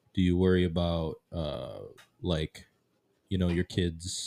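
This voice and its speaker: A man with a very deep, low pitch speaks very slowly in a monotone, flat delivery, with long, frequent pauses. The recording is very clean, with a silent background and a dry, close sound with no echo. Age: 20s. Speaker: podcast host. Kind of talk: casual chat.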